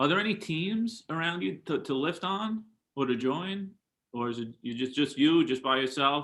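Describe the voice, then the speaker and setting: At a moderate pace, a man with a strong New York accent speaks at a fairly high pitch with lively intonation. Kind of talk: casual interview chat.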